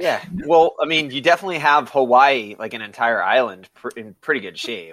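The speaker has a normal speaking voice with lively intonation. Words come at a fairly quick pace with hardly any pauses. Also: man, fairly high pitch for a man. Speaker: podcast host. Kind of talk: casual banter.

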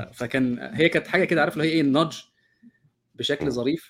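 A man is speaking. He goes at a very fast pace. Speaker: co-host, course organizer. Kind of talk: online class discussion with English terms mixed in. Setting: video call.

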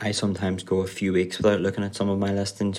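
A man's very deep, low voice in a Northern Irish accent, with monotone, flat intonation. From Northern Ireland. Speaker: Amazon seller manager. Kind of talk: scripted tip recording.

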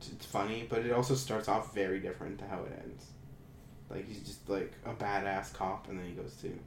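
A man talks at a fairly quick pace with a fairly low pitch, and his loudness swings a lot. There is audible room echo and noticeable background noise. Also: fairly even intonation. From Ontario, Canada. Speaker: podcast co-host. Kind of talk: casual chat. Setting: home computer room.

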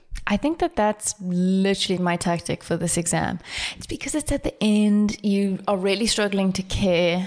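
Medium pitch and an unremarkable speaking voice from a woman, ordinary in pitch variation, at a moderate pace. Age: 20s. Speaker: podcast co-host. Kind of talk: casual chat.

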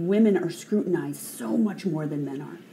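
A woman speaks at a fairly low pitch and a fairly quick pace, with ordinary pitch variation. Noticeable background noise runs under her voice. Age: 40s. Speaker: mountaineer and aerospace engineer. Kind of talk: panel discussion.

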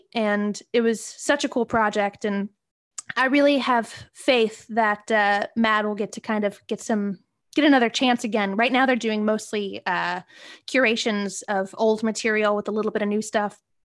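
Here is a woman with an unremarkable speaking voice, pitched fairly high. She talks at a moderate pace with fairly even intonation. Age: 20s. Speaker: podcast co-host and comedy writer. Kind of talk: casual interview.

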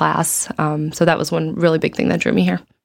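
Speaking fairly quickly with an American accent, a woman has a fairly low pitch and a normal speaking voice. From US Midwest, Chicago. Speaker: medical resident in obstetrics and gynecology. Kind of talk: casual interview.

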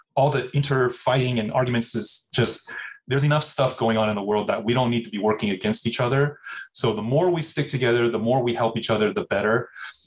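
In an American accent, the speaker talks at a very fast pace with ordinary pitch variation. The voice is somewhat breathy. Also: man, medium pitch for a man. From US Midwest (Minnesota), later Bay Area. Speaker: food company CEO. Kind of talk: interview.

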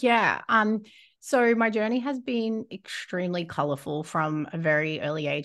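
A woman with an Australian accent and lively intonation, over a quiet background. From Australia, Rockhampton, Queensland. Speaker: business coach. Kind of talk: interview.

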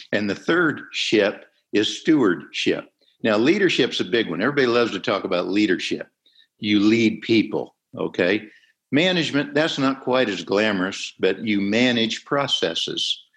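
A man speaks at a moderate pace in a plain, everyday voice, his pitch medium for a man. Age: 60s. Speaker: impact investor, company founder and chairman. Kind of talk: interview.

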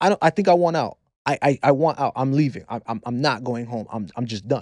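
A man's voice at a fairly quick pace with ordinary pitch variation. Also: dry, close sound with no echo, quiet background. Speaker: podcast guest, father. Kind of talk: casual interview chat. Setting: podcast studio. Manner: animated, jokey.

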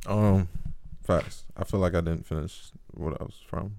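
A man's voice with ordinary pitch variation. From US South, Georgia (Clayton County). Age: 20s. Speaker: college student. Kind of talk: casual chat.

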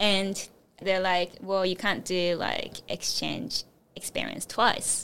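The speech comes very slowly in a flat, monotone delivery. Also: woman, medium pitch for a woman. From Japan. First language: Japanese. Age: 20s. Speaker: recent design graduate. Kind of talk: interview.

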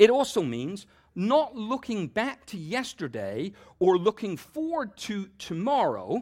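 On a very clean recording with a silent background, a man with a southern English accent speaks fairly slowly at a high pitch, with very wide pitch swings and big swings in loudness. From southern England. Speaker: pastor. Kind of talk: sermon.

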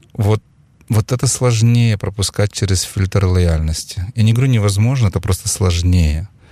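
A man speaks at a moderate pace with a fairly low pitch and ordinary pitch variation. His tone is dark, mellow and somewhat breathy, with a dry, close sound and no echo. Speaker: investment company president and entrepreneur. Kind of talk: interview conversation. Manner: calm, measured.

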